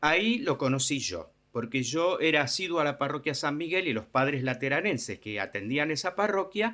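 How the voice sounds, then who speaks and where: A man speaks at a fairly slow pace in a bright, sharp tone. The recording is very clean, with a silent background. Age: 60s. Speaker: charity volunteer for homeless people. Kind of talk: interview. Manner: halting, many fillers.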